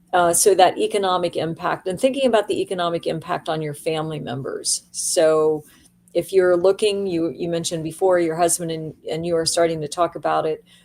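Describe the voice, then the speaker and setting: A woman with an unremarkable speaking voice talks at a fairly quick pace, her fairly low pitch moving in fairly even intonation. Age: 60s. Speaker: aging services executive. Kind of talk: interview.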